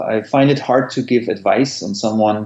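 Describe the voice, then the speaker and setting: A man speaks with a German accent at a medium pitch. His pace is moderate and his pitch variation ordinary. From Germany. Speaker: tech entrepreneur. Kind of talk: interview.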